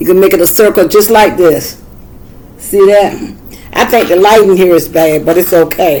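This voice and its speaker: Over noticeable background noise, a woman with a Southern US accent speaks at a moderate pace and a medium pitch. She takes long, frequent pauses, and her pitch varies in an ordinary way. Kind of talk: tutorial. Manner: casual, halting.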